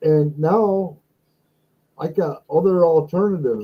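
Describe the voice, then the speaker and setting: A man speaks with a plain, everyday voice, fairly high in pitch, with ordinary pitch variation. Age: 60s. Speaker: live stream host, former guitar entertainer. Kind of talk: casual chat. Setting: live stream.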